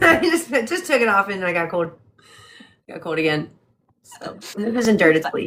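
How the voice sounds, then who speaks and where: The voice moves at a moderate pace with long, frequent pauses, big swings in loudness and very wide pitch swings. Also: woman, medium pitch for a woman. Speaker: book club co-host. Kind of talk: casual chat. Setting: livestream from home.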